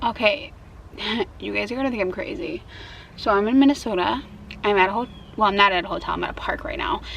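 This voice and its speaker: A woman with a fairly high voice speaks at a very fast pace with lively intonation, yet leaves long, frequent pauses. Noticeable background noise is present. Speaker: lifestyle vlogger. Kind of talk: casual vlog tutorial. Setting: outdoors in a park. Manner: casual, hesitant with fillers; whispering.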